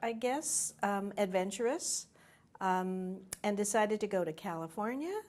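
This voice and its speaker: Recorded very cleanly against a silent background, a woman with an American accent speaks at a very slow pace, medium in pitch, with ordinary pitch variation. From New Mexico, US Southwest (Santa Fe). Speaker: community leader, interviewee. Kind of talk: oral history interview.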